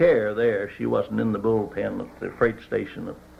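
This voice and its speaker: Noticeable background noise behind a man with an American accent. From West Virginia. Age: 70s. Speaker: retired teacher and war veteran. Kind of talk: oral history interview answer.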